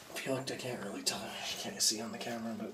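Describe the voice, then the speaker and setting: The man rushes along at a very fast pace. Behind him is noticeable background noise. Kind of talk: casual exploration commentary. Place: tunnel cave. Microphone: phone near.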